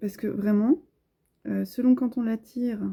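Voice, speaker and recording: A soft-spoken woman with a fairly high pitch, a gentle, dark and mellow tone, somewhat breathy, at a fairly slow pace. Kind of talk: tarot card reading, relaxing ASMR-style talk to camera. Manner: soft-spoken, gentle.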